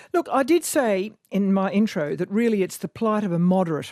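With an Australian accent, a woman speaks at a moderate pace in a medium pitch with ordinary pitch variation and a dark, mellow tone. The sound is dry and close with no echo over a quiet background. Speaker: radio host. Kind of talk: radio interview.

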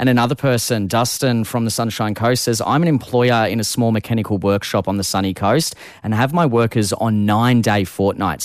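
A man with an Australian accent speaks fairly quickly in an upbeat tone. His pitch is fairly low, with ordinary variation. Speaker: youth radio host. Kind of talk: radio chat show.

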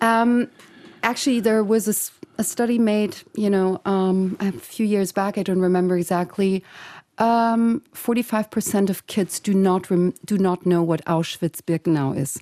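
A woman speaks at a moderate pace in a dark, mellow tone with very even loudness. The sound is dry and close with no echo, on a very clean recording with a silent background. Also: medium pitch for a woman, ordinary pitch variation. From Germany. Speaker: filmmaker. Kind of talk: interview. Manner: hesitant, many fillers.

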